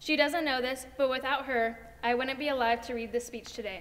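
A woman speaks in a high pitch. Her pitch varies in an ordinary way. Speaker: speaker. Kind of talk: graduation speech. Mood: warm, heartfelt. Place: stage.

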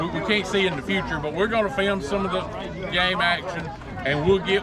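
Crowd noise fills the background as a man talks at a moderate pace with ordinary pitch variation, the sound dry with no echo. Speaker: co-host of a family vlog. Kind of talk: casual vlog chat. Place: stadium.

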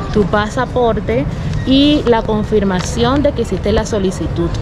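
Music plays behind the voice. A woman talks at a fairly slow pace. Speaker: travel vlogger. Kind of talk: casual vlog chat. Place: street. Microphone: phone near.

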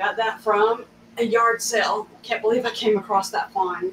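Light background noise accompanies the woman as she talks at a fairly slow pace. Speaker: craft host. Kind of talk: casual live stream tutorial. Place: studio. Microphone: camera far.

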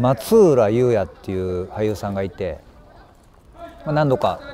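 The recording of this man's voice is dry with no echo, carrying light background noise. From Kansai, Japan (rural basin). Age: 50s. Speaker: actor. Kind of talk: interview answers. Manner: halting, with many pauses and fillers. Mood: calm, reflective. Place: open country.

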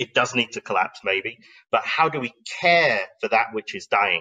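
A man with fairly low pitch talks with lively intonation, a bright, sharp tone and a slightly husky edge. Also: moderate pace.

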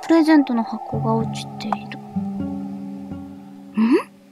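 Noticeable background noise and a dry sound with no echo. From Kochi, Japan. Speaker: VTuber. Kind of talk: horror game let's play. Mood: cheerful, playful, apologetic.

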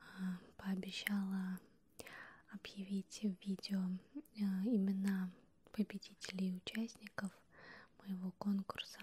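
A soft-spoken woman whispering, somewhat breathy, at a very slow pace. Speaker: ASMR creator. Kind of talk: ASMR close whispering video. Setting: close to the microphone, binaural. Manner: whispered, soft-spoken. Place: home room. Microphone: handheld.

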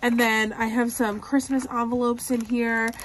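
A woman sounds somewhat breathy. Light background noise is present. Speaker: planner vlogger. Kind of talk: casual vlog chat.

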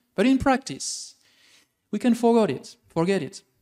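This man talks at a moderate pace. His pitch swings very widely. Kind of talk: sermon delivered to a congregation.

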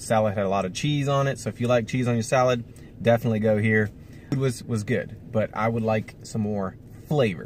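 At a fairly quick pace, a man talks with fairly even intonation, the sound dry with no echo and light background noise. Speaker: family vlogger. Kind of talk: casual vlog chat. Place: car. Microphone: phone near.

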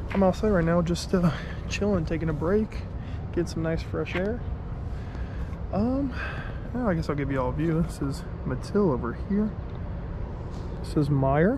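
At a moderate pace, a man talks with long, frequent pauses over noticeable background noise. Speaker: student vlogger. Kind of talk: casual vlog chat. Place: street. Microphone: phone near.

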